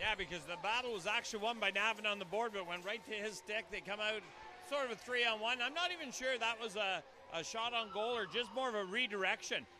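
Against noticeable background noise, a man projects a raised, high-pitched voice at a very fast pace with ordinary pitch variation and a dry sound with no echo. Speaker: hockey colour commentator. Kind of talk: live hockey colour commentary, analysing plays between goals. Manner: conversational, filler-heavy, with hesitations. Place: stadium. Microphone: headset.

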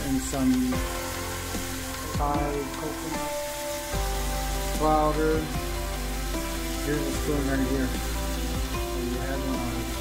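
Very slow speech over loud music in the background. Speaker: narrator filming the cook. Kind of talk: casual vlog chat. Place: kitchen. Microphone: phone near.

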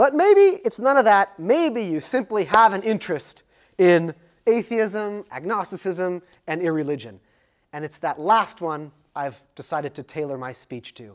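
A man with an American accent at a moderate pace, against a quiet background. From United States. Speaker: sociology professor. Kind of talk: lecture. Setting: lecture hall with audience. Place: classroom.

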